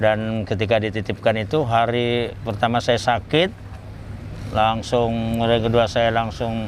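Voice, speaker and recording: A plain, everyday voice from a man, fairly slow pace, fairly even intonation, very even loudness. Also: medium pitch for a man. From Central Kalimantan, Indonesia (Banjarmasin, Dayak village, Palangkaraya). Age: 60s. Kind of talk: interview.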